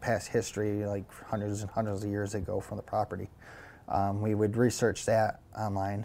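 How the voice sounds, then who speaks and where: Delivered with an American accent, the speech has monotone, flat intonation. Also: man. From Syracuse, New York. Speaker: paranormal investigator. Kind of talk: casual interview. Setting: home attic. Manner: halting, many repetitions and fillers.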